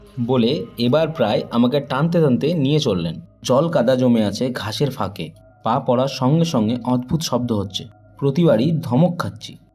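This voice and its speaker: With music in the background, a man talks at a medium pitch and with lively intonation. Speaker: audio story narrator. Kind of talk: horror audio story narration.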